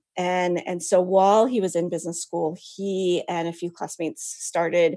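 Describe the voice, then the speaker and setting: This woman's voice sits fairly low in pitch. Her tone is dark and mellow. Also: quiet background. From US West Coast, San Francisco Bay Area. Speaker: author and writer. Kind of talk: interview.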